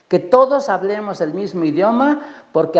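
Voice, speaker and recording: Over noticeable background noise, a man with a Mexican accent speaks at a moderate pace with lively intonation. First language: Nahuatl (speaking Spanish). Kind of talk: panel talk. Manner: halting, many repetitions.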